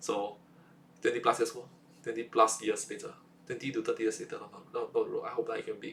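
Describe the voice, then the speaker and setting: At a very fast pace, a man talks with a Singaporean accent. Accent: Singaporean English (Singlish). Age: 20s. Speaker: vlogger. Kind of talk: casual monologue vlog. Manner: halting, with many repetitions and fillers.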